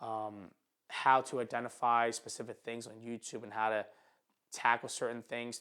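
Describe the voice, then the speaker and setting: A man with a Philadelphia accent talks at a moderate pace and medium pitch, with big swings in loudness. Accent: Philadelphia American English. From Philadelphia, North Philly. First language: not English, immigrated at five. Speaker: photographer and YouTuber. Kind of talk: casual vlog monologue. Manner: halting, stutters and repeats.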